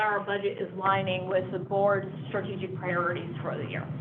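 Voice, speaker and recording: A woman's voice with audible room echo. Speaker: district finance staff presenting budget. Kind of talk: board meeting presentation. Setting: public board meeting. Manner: fast.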